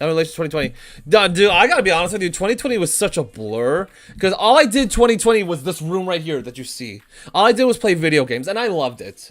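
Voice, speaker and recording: Talking at a very fast pace, a man uses a high pitch, an animated tone and very wide pitch swings. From grew up in Armenian community. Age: 20s. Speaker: streamer, former teacher. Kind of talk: casual livestream commentary. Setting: home room on webcam stream.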